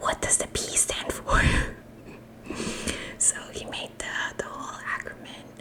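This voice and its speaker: Moderate-paced whispering from a woman, noticeable background noise behind her. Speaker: ASMR creator. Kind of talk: ASMR show-and-tell. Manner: whispered.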